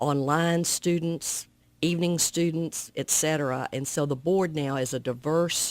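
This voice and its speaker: A Southern US accent at a fairly slow pace with fairly even intonation, on a very clean recording with a silent background. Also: woman, very deep, low pitch for a woman. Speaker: alumni association president. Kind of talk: radio interview. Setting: radio studio.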